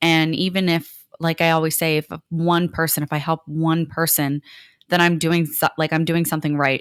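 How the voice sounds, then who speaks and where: In a very clean recording with a silent background and a dry, close sound with no echo, a woman speaks at a fairly low pitch in a monotone, flat intonation. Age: young. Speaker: podcast co-host. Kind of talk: casual chat. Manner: halting, stumbles and stutters; fast.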